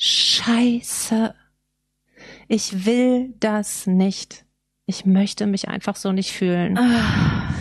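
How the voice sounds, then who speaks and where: Pausing long and often, a woman talks at a very slow pace in a fairly high pitch with fairly even intonation. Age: 40s. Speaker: photographer and designer in alcohol recovery. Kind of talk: interview about personal recovery.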